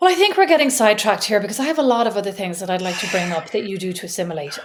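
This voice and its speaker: A very fast pace and lively intonation in an Irish accent. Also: woman, medium pitch for a woman. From Ireland. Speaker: podcast co-host. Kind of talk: casual chat.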